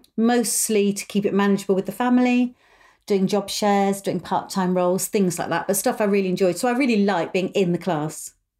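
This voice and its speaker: Speaking with a British accent at a fairly quick pace, a woman has a medium pitch and a dark, mellow tone. Her intonation is fairly even, and the recording is very clean with a silent background. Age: 50s. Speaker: podcast host and mother of the host. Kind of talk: casual chat.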